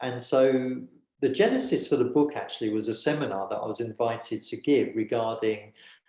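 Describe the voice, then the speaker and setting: In a British accent, a man with a medium pitch speaks at a moderate pace. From England, just north of London. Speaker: author and governance consultant. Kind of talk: interview. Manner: hesitant, many fillers.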